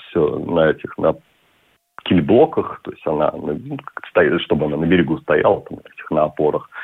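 Long pauses come frequently as a man talks at a moderate tempo. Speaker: yachtsman and businessman. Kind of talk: radio interview.

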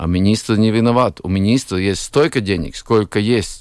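Lively intonation from a man's fairly low voice, moderate in pace. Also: dry, close sound with no echo. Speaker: cardiologist. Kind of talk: radio discussion. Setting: studio. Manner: halting.

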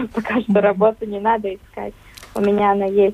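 Noticeable noise sits in the background. Over it, a woman talks with a fairly high pitch. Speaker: young farmers club member. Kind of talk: radio interview. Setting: remote line.

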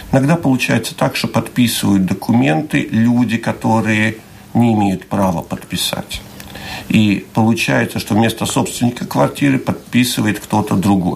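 A man speaks with lively intonation at a medium pitch and moderate pace. There is noticeable background noise. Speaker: housing management association board member. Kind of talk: radio interview. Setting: studio.

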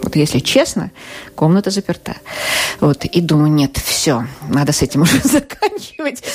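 A woman with a very deep, low pitch speaks with lively intonation and very even loudness, leaving long, frequent pauses over noticeable background noise. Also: moderate pace. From Russia. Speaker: psychotherapist. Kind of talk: interview. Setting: radio studio.

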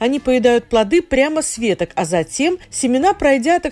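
This woman has a high pitch and a dark, mellow tone, with very wide pitch swings. She speaks at a moderate pace, and the sound is dry and close, with no echo. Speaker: radio presenter. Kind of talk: scripted-style radio segment. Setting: studio.

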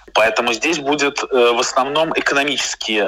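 A man keeps a moderate pace as noticeable background noise runs beneath his voice. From Moscow, Russia. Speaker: writer and journalist. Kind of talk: interview. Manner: hesitant fillers.

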